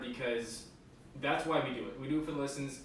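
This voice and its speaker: Over noticeable background noise and audible room echo, a man talks at a very fast pace, his medium-pitched voice holding fairly even intonation. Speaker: podcast co-host. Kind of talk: casual chat.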